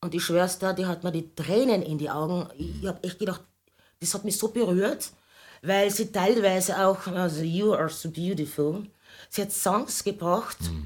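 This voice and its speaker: A woman's plain, everyday voice, medium in pitch with ordinary variation, at a moderate pace on a very clean recording with a silent background. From Austria, Carinthia. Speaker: singer. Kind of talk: casual chat.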